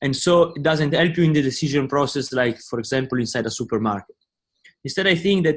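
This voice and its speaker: Music plays in the background as a man talks. His pitch is fairly high, with ordinary variation. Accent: Italian. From Italy. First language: Italian. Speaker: business student. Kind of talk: class discussion.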